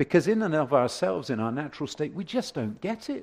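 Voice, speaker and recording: A man with a British accent and very wide pitch swings. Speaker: preacher. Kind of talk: sermon. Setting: church. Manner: hesitant, fillers.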